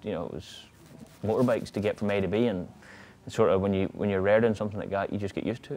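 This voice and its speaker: A man with a strong Northern Irish accent talks at a very fast pace. His voice is dark and mellow, fairly low in pitch, with fairly even intonation. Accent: thick Northern Irish. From Northern Ireland. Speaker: motorcycle road racer. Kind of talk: interview answer. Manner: casual, nonchalant. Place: garage.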